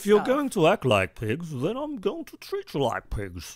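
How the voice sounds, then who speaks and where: A man uses a gruff, put-on character voice pitched high, at a moderate pace. His loudness swings widely, and the sound is dry and close with no echo. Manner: harsh, scolding.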